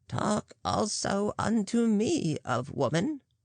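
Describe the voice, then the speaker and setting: Using a put-on character voice, a woman speaks at a very slow pace and medium pitch, her pitch swinging very widely. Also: dry, close sound with no echo. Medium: read story. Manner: wry, knowing.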